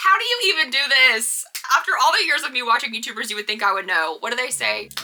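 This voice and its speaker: A woman talks at a very fast pace with a high pitch and very wide pitch swings. Noticeable background noise runs under her voice. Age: 20s. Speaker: vlogger, ICU nurse. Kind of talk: casual vlog monologue. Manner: rambling, conversational.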